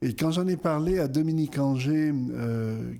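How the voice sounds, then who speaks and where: Slow-paced and medium in pitch, a man speaks in a dark, mellow tone. His pitch varies normally, and the recording is very clean with a silent background. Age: 60s. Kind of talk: interview. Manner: hesitant, many fillers.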